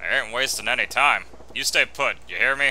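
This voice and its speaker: A gruff, put-on character voice from a man at a medium pitch and fairly quick pace, with clear background noise. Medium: game stream. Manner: gruff, slangy.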